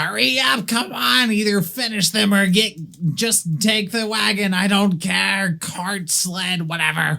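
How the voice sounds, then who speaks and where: Shouting in a put-on character voice, the speaker holds a middle pitch at a fairly slow pace. Light background noise can be heard. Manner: yelling, impatient.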